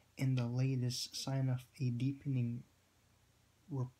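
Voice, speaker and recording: A man speaks at a medium pitch in a monotone, flat intonation. His tone is dark and mellow, and somewhat breathy. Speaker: vlogger commenting on news. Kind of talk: casual vlog with article reading. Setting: home at night. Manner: halting, many fillers and repeats.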